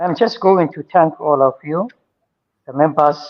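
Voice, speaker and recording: A man with a Somali accent speaks at a fairly slow pace in a fairly high pitch, with ordinary pitch variation. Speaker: writer and audience questioner. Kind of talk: audience question. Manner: halting.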